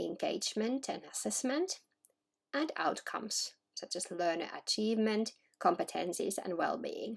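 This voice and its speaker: A woman with a Finnish accent speaks at a fairly slow pace. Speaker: education researcher. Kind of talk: scripted narration. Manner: formal.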